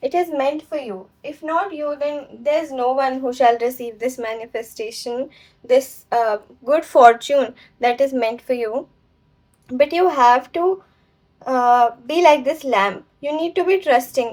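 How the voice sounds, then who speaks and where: A woman's high-pitched voice with ordinary pitch variation at a fairly slow pace. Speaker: tarot reader. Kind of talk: tarot reading. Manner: usually slow and clear.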